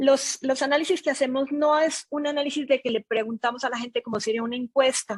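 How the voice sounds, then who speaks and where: A woman's high-pitched voice with a non-native accent, ordinary pitch variation and a fairly quick pace, in a dry, close sound with no echo. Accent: noticeable foreign accent in Mexico. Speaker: data analytics consultant. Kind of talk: webinar presentation.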